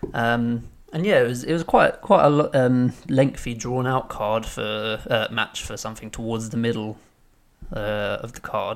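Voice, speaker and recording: Captured in a very clean recording with a silent background, a man with an ordinary speaking voice talks fairly slowly at medium pitch, his intonation fairly even but his loudness swinging widely. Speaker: podcast co-host. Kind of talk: casual chat.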